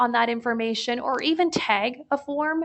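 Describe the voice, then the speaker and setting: This woman speaks at a fairly high pitch with ordinary pitch variation. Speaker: software product demonstrator. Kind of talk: live product demo webinar. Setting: webinar. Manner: fast.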